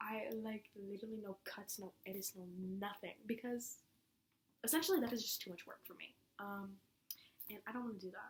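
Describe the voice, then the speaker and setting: Delivered at a fairly quick pace with long, frequent pauses, the somewhat breathy voice keeps a fairly even intonation while its loudness swings widely. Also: woman, fairly high pitch for a woman. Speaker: podcaster. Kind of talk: casual monologue. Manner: fast, rambling run-on speech. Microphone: laptop mic.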